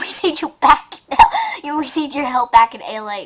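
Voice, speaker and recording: Putting on a character voice with high pitch, a woman speaks at a moderate pace. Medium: read story. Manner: urgent.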